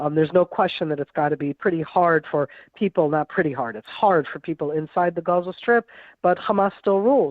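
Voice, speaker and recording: A woman with a plain, everyday voice, an American accent, a fairly low pitch, lively intonation and a fairly quick pace. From US, then Israel from childhood. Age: 60s. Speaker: former military intelligence officer and analyst. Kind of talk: interview.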